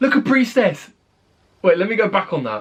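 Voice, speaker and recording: With a British accent, a man speaks using very wide pitch swings. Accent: British, fairly. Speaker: YouTube reaction creator. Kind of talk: video reaction commentary.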